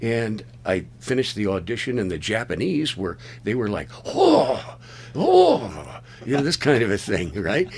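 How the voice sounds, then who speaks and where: A man at medium pitch talks at a fairly slow pace with very wide pitch swings over noticeable background noise. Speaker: voice-over artist. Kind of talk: interview.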